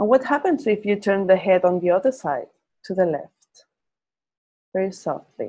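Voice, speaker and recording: A woman with a medium pitch and a dark, mellow tone speaks with lively intonation and long, frequent pauses. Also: moderate pace. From Spain. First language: Spanish. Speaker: Feldenkrais teacher. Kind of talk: interview conversation; guided movement lesson.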